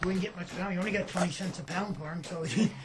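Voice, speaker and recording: Noticeable background noise sits behind a man with a Newfoundland accent. He talks at a fairly quick pace with fairly even intonation. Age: 70s. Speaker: fisherman. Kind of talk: interview. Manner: halting.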